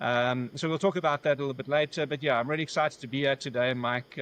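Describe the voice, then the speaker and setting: Talking at a very fast pace, a man uses a South African accent and a medium pitch. The sound is dry and close with no echo, over a quiet background. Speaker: business valuation founder. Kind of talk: podcast interview.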